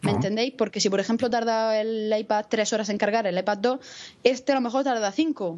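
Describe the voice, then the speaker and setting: A woman with a plain, everyday voice speaks fairly quickly at a fairly high pitch with ordinary pitch variation. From Spain, Murcia. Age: 20s. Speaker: podcaster and university student. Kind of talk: casual chat.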